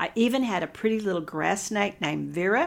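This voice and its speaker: A woman at a moderate pace, with a Texan accent. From Texas, Hill Country. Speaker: nutritionist and podcast host. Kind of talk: casual monologue.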